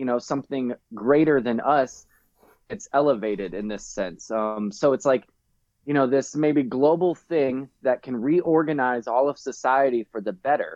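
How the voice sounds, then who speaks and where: With a plain, everyday voice, a man speaks at a moderate pace in a medium pitch and ordinary pitch variation. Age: 30s. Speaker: artist. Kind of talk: casual chat.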